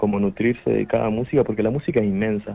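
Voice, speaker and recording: Amid noticeable background noise, a man talks at a fairly quick pace in a fairly low pitch. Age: 20s. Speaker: musician. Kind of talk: interview.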